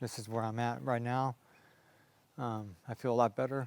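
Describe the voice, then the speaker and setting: A man with a medium pitch. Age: 60s. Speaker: patient. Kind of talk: testimony. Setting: at home. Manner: halting.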